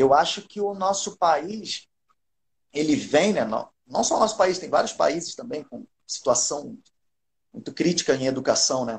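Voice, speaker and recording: A man talks at a fairly slow pace in a high voice, with lively intonation and big swings in loudness. Long pauses come often. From Rio de Janeiro, Brazil. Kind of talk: casual live-stream interview.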